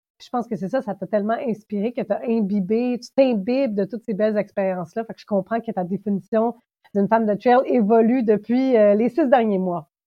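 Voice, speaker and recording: A woman talks at a fairly quick pace with ordinary pitch variation. Her loudness swings widely. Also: fairly high pitch for a woman. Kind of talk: casual interview.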